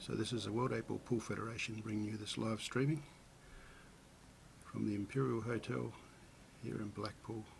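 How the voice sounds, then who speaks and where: A man with an Australian accent, vocal fry and a fairly low pitch, at a moderate pace with ordinary pitch variation and long, frequent pauses. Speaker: pool commentator. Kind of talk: live commentary. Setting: hotel event live stream.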